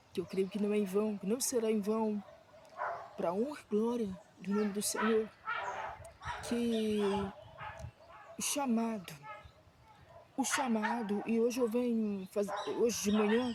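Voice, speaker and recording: A soft-spoken woman talks at a fairly slow pace in a fairly high pitch with monotone, flat intonation. Noticeable background noise runs underneath. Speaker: missionary preacher. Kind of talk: sermon. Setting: outdoors on a prayer mountain.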